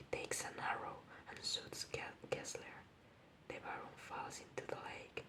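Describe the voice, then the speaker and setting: A woman whispering at a fairly slow pace against noticeable background noise. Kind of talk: ASMR bedtime story reading. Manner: soft, whispered.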